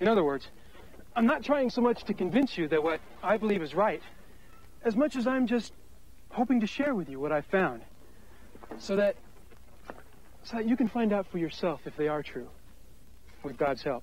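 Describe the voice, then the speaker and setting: With long, frequent pauses, a man speaks at a high pitch with very wide pitch swings, the sound dry with no echo. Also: moderate pace. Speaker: on-screen host of a church film. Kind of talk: scripted personal testimony to camera. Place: open country.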